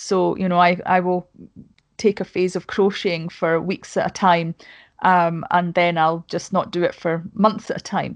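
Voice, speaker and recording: A woman with a Scottish accent talks at a moderate pace and a fairly low pitch, her intonation monotone and flat. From Scotland. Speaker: podcast host and YouTuber. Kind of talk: casual chat. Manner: talkative.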